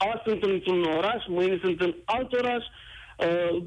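Ordinary pitch variation marks this man's speech. He delivers it at a very slow pace. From Romania, Bacău (Moldavia). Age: 40s. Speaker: radio caller. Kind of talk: call-in on live radio.

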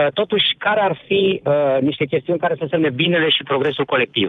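Speech comes at a fairly quick pace. Its pitch moves in an ordinary way. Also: man. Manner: halting.

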